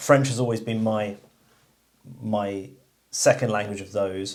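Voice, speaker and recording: A man speaks in a fairly low voice with fairly even intonation. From England. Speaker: channel host, shooting enthusiast. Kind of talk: casual chat.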